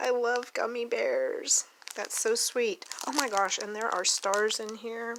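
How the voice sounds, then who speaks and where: With an American accent, the speaker talks at a fairly slow pace in an animated, excited tone over noticeable background noise. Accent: Oklahoma accent, coming back. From Oklahoma. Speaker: doll collector YouTuber. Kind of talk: casual unboxing vlog. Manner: animated, excited exclamations.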